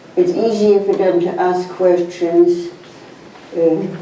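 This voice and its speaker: Speaking very slowly at a fairly low pitch with ordinary pitch variation, a woman is heard through audible room echo and noticeable background noise. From Poland. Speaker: Holocaust survivor and author. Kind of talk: testimony. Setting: university talk with audience. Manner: halting.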